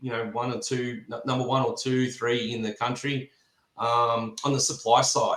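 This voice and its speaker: This man's voice sits at a medium pitch. He keeps a moderate pace. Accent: Australian. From Australia. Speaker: fencing supply business representative. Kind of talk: podcast interview.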